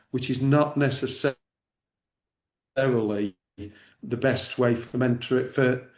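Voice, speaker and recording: This man speaks with an English accent at a medium pitch. His intonation stays fairly even. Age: 60s. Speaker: church network director. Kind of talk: interview discussion. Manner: halting.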